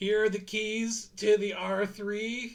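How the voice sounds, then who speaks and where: A man's put-on character voice, high-pitched, monotone and flat, at a fairly slow pace. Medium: actual play. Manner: polite, hesitant.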